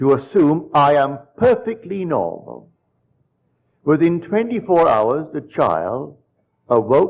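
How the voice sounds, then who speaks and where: Lively in intonation, a man speaks in a fairly high voice with vocal fry. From Barbados. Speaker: spiritual lecturer. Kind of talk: lecture to live audience.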